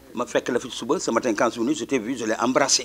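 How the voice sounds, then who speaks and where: Talking at a very fast pace, a man with a medium pitch shows ordinary pitch variation amid noticeable background noise. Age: 60s. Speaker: teacher. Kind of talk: speech at a school ceremony. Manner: mixes French and Wolof.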